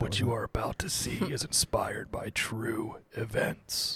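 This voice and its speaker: Whispering at a moderate pace, the speaker uses a put-on character voice. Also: man. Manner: dramatic.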